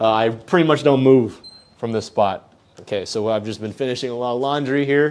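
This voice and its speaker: Using an ordinary speaking voice, a man talks fairly quickly at a medium pitch, his pitch varying in an ordinary way. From US East Coast. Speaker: entrepreneur. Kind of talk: casual vlog tour.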